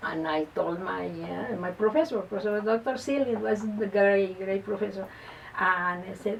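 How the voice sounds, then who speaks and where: A woman with a Spanish accent talks at medium pitch with ordinary pitch variation. She keeps a moderate pace, and background noise is noticeable. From Colombia, Bogotá. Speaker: lawyer and first-time author. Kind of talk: interview. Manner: halting, repeats words.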